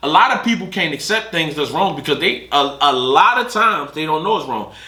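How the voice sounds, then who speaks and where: A man talks at a fairly quick pace in a high pitch with very wide pitch swings. Audible room echo and noticeable background noise surround him. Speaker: podcast co-host. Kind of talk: casual chat. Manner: halting, self-interrupting.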